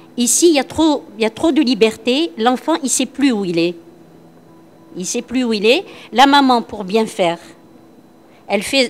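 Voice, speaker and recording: A woman's fairly high voice with music in the background. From Algeria, Constantine. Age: 60s. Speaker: workshop participant, former school supervisor. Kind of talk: group discussion. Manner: hesitant, repetitive.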